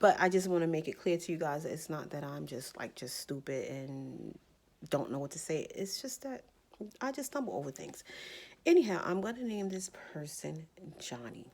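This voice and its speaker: A woman with an American accent talks at a moderate pace in a fairly low voice with vocal fry and very wide pitch swings. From New Jersey. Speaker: YouTuber. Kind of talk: storytime monologue. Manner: stammers, stumbles over words.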